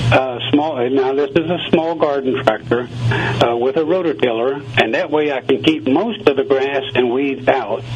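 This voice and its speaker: With an American accent, a man of medium pitch talks at a moderate pace with ordinary pitch variation and hardly any pauses, over noticeable background noise. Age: 70s. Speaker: gardener, radio guest. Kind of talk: radio interview.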